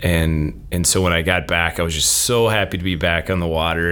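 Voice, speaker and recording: In an American accent, a man with a very deep, low pitch talks at a fairly quick pace over noticeable background noise. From Minnesota. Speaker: professor. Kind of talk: casual chat.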